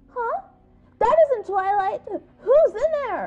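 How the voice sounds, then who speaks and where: In a put-on character voice, a female-sounding voice at an extremely high pitch speaks very slowly with music in the background. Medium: audio drama. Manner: excitable, insistent.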